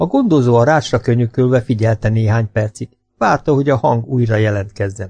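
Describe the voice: Plain reading aloud with ordinary pitch variation and a quiet background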